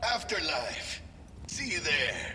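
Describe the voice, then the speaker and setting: A man in a put-on character voice, with clear background noise behind him. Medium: machinima.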